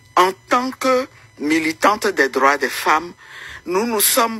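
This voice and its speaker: The voice swings very widely in pitch. There is noticeable background noise. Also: woman. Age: 60s. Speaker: opposition politician and women's rights activist. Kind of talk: interview. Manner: hesitant, many fillers.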